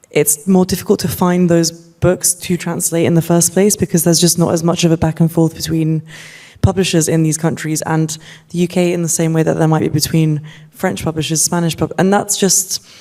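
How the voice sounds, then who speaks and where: Noticeable background noise behind speech at a fairly quick pace. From Kosovo. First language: Albanian. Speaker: publishing editor. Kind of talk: panel discussion.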